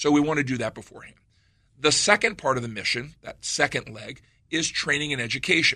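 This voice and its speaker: In a normal speaking voice, a man talks at a fairly quick pace with a fairly high pitch, lively intonation and big swings in loudness, all against a quiet background. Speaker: police lieutenant. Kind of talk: radio interview. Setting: studio.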